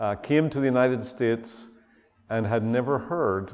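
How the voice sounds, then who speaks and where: Speaking at a moderate pace, a man with a Northern Irish accent uses ordinary pitch variation. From Northern Ireland. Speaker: visiting preacher. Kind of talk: sermon. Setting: church.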